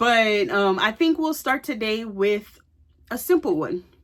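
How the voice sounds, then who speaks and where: Very clean audio with a silent backdrop and speech at a moderate pace. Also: woman. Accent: American. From Louisiana, US. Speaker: YouTuber. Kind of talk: casual vlog chat. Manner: conversational, many fillers.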